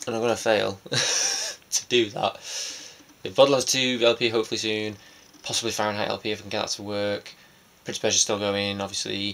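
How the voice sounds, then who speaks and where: Noticeable background noise sits behind a man's fairly low voice. He speaks in a monotone with flat intonation. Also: fairly quick pace. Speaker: vlogger. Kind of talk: casual vlog monologue. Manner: fast.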